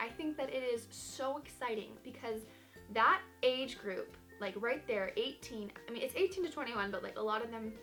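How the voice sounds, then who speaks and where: Over music in the background, a woman with an American accent speaks at a fairly quick pace and fairly high pitch, in an upbeat tone with lively intonation. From Georgia, US. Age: 20s. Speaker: vlogger. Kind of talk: casual talk to camera.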